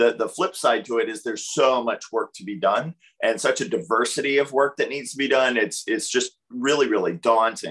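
A man keeps a moderate pace and leaves hardly any pauses. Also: quiet background. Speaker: author and technology researcher; presenter. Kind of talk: webinar presentation. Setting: video call. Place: home room. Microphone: video call.

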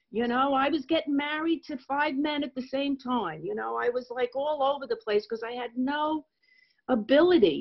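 A woman with an American accent. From New York. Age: 60s. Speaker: recovering alcoholic speaker. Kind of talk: testimony. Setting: video call.

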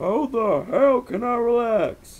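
A man's put-on character voice, extremely high-pitched, with lively intonation and a slow pace

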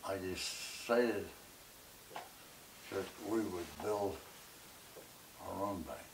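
Delivery is very slow, with long, frequent pauses and fairly even intonation. Background noise is noticeable. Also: man, fairly low pitch for a man. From Arkansas. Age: 90. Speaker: businessman, war veteran. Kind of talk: interview answer. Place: home room.

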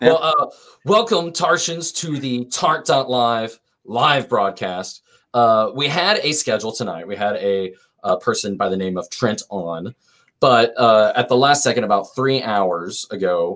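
Against a quiet background, a man talks fairly slowly with lively intonation. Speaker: show host. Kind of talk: casual livestream show chat. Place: home room. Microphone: video call.

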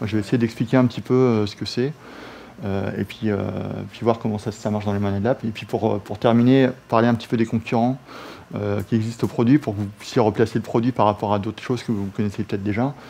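With fairly even intonation and a medium pitch, a man talks at a very fast pace. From France. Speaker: software security expert; presenter. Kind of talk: technical presentation. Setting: office meeting room with colleagues. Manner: hesitant, many fillers. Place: meeting room.

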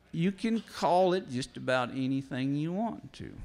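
In a rural Missouri accent, a man with a fairly high pitch talks at a fairly slow pace, his pitch swinging very widely. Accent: Midwestern US rural (Missouri). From northeast Missouri. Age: 60s. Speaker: farmer and farm writer. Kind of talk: seminar talk. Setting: stage with audience.

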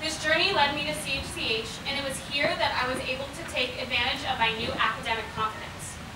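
Noticeable background noise and audible room echo accompany a fairly quick pace with ordinary pitch variation. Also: woman, high pitch for a woman. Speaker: graduating student speaker. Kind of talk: commencement speech. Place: tent.

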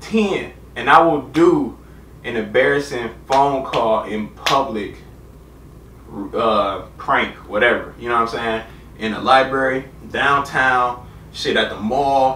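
Audible room echo surrounds a man's voice. There is light background noise too. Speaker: youtuber reacting to video. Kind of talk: casual vlog chat. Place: home room. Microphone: camera far.

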